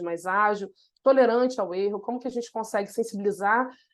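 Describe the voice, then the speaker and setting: Against a quiet background, a woman with a Carioca accent speaks at a fairly quick pace. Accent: Carioca (Rio). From Brazil, Rio de Janeiro (north zone, Méier). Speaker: innovation consultant, webinar presenter. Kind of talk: webinar presentation. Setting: online webinar.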